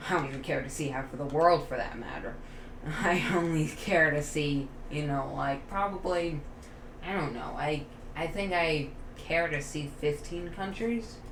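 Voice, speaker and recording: A woman speaks at a moderate pace with a very deep, low voice and ordinary pitch variation, over noticeable background noise and audible room echo. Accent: American. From United States. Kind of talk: casual chat.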